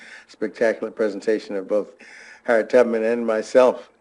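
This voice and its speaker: A man speaks in a fairly low pitch with a dark, mellow tone. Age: 80s+. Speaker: transplant surgeon. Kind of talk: lecture. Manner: halting, many fillers.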